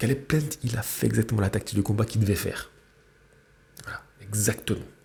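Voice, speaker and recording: A soft-spoken man talks at a fairly quick pace. His pitch is fairly low. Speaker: boxing YouTuber. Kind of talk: fight reaction commentary. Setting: at parents' home, early morning. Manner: halting.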